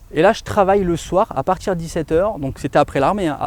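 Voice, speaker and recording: In a normal speaking voice, a man talks at a fairly quick pace with ordinary pitch variation, the sound dry and close with no echo. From France, Grenoble region. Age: 30s. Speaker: real estate dealer, ex-soldier. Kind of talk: interview. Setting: outdoors in a forest.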